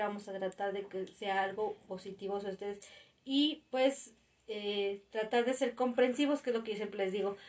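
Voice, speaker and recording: A woman's fairly high voice, an ordinary speaking voice, at a moderate pace with fairly even intonation. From Mexico City. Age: 30s. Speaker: podcast co-host, parent. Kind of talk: casual chat.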